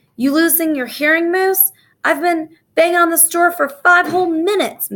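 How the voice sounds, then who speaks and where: In a put-on character voice, a woman talks at a moderate pace with an extremely high pitch and fairly even intonation, sounding hissing and wheezy. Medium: read story. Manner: wheezing, hissing.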